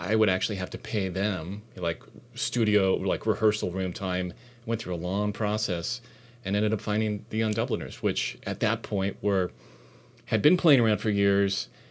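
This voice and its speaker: A man speaks with an American accent at a moderate pace. His pitch is fairly low and his intonation fairly even. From Southern California (Orange County). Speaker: composer and session drummer. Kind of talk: casual interview chat. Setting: his own recording studio. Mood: relaxed, reflective. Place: studio. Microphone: lapel.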